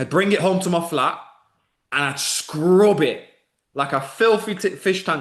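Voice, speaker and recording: A man speaks with a Mancunian accent. His tone is animated. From northern England, Manchester. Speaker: online business coach. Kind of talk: live webinar masterclass. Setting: live video stream.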